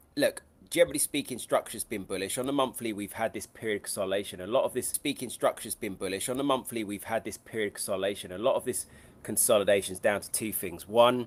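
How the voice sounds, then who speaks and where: A man speaks with a London accent at a medium pitch and a very fast pace. His pitch variation is ordinary, and his loudness swings widely. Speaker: trading educator. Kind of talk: live trading stream.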